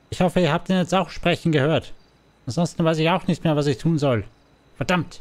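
A man puts on a character voice pitched fairly high. He talks at a fairly quick pace but leaves long, frequent pauses. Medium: role play. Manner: agitated, exasperated.

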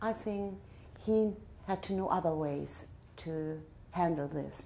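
A woman with a German accent speaks at a fairly low pitch in a dark, mellow tone with fairly even intonation, over light background noise. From northern Germany. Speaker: tourist. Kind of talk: interview answer. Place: home room.

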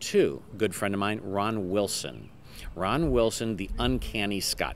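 The speech moves at a moderate pace. The sound is dry with no echo, over light background noise. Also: man. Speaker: magician. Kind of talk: interview. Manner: rambling and jokey. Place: street.

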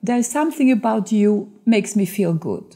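Dark and mellow in tone, this woman's voice is somewhat breathy. The background is quiet. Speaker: author, actress, dubbing voice and TV presenter; actress, TV presenter. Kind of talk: interview answer, anecdote telling. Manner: lively, humorous. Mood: lively, amused anecdote telling. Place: studio.

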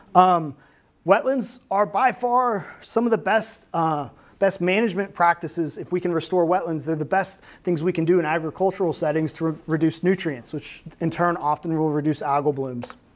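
The man speaks at a moderate pace with a high pitch and ordinary pitch variation. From Arkansas. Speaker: university researcher; speaker. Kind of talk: lecture. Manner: halting. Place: classroom. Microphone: lapel.

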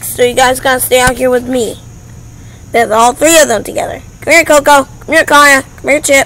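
Fairly even intonation from a woman. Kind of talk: casual talk to pets. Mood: affectionate, baby talk. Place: garden. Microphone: phone near.

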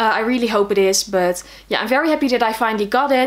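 The speaker talks with a Dutch accent and ordinary pitch variation. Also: woman. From Netherlands. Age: 20s. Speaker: book vlogger. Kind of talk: casual video monologue. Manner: hesitant with fillers. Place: home room.

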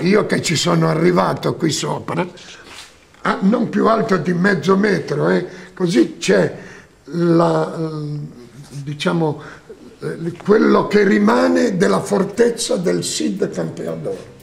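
The pace is very slow. Long pauses come often. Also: man. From Bergamasco, Piedmont, Italy. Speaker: film set designer. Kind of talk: documentary interview, personal recollections. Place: home room.

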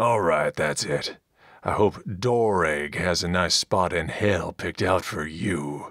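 This is a raspy, put-on character voice with a menacing tone. It moves at a fairly slow pace. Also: man, very deep, low pitch for a man. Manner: crude, mocking, menacing.

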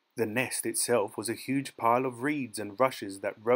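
Someone reads in an unforced reading voice with ordinary pitch variation.

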